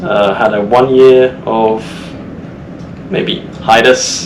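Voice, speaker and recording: A man speaks with an English Midlands accent and ordinary pitch variation. The recording has audible room echo and noticeable background noise. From central England. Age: 20s. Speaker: cadet seafarer. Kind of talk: casual podcast interview.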